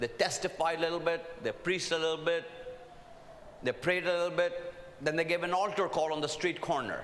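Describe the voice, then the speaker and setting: With an Indian accent, a man speaks at a moderate pace in a high pitch and an animated tone, with noticeable background noise and audible room echo. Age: old. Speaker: preacher. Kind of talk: sermon. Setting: stage with audience.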